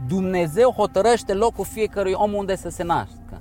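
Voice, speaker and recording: A man's voice, high in pitch. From Romania. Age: 40s. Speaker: endurance swimmer. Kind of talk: interview.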